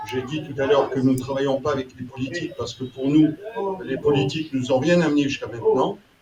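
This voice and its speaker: Over noticeable background noise, a man speaks at a very fast pace with a fairly high pitch and fairly even intonation. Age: 70s. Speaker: citizen movement representative. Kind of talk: public meeting speech. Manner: hesitant.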